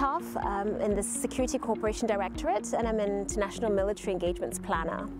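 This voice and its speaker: Clear music plays behind a woman who talks at a very fast pace with hardly any pauses. Her voice sounds dry, with no echo. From Nairobi, Kenya. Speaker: army officer. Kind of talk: interview answer. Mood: warm, upbeat. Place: open country.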